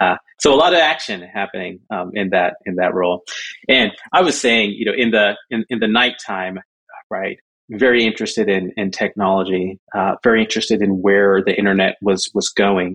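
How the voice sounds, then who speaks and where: A man speaks in a normal speaking voice, fairly low in pitch. His pace is moderate, with ordinary pitch variation. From Southern California (born in Jamaica). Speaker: crypto organization executive director. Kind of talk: interview.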